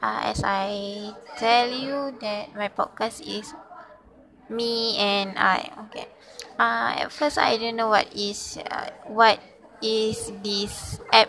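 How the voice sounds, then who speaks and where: Noticeable background noise sits behind a woman who speaks at a very slow pace, with fairly high pitch and fairly even intonation. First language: not English. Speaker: student podcaster. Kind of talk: self-introduction monologue. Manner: halting, many fillers.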